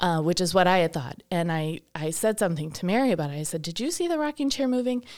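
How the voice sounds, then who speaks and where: In a very clean recording with a silent background, a woman with a plain, everyday voice and an American accent speaks at a fairly quick pace with lively intonation. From Wisconsin, Milwaukee area. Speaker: shop owner and event organizer. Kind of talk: casual interview. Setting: studio.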